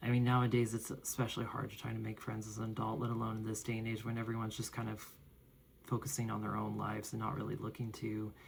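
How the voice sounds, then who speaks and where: A man speaks quietly. His voice is somewhat breathy. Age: adult. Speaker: vlogger. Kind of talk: personal vlog monologue. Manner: quiet, low-spoken; halting, with fillers.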